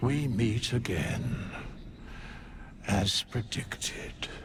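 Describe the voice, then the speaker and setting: Over clear background noise, someone talks in a put-on character voice at a very slow pace. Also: man, medium pitch for a man. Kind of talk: archaic theatrical English. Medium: video game. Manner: solemn, measured, cryptic.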